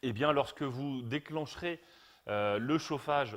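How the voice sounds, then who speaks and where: The intonation of this man's voice is lively. The recording is very clean, with a silent background. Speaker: brand product expert. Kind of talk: live stream Q&A. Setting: home garage turned studio. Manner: hesitant, many fillers.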